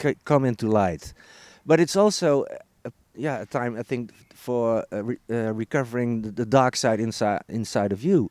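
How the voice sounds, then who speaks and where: Lively intonation from a medium-pitched man with a Dutch accent, at a moderate pace, in a dry, close sound with no echo. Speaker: healer and author on Mayan calendar. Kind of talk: interview. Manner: halting, many repeated words.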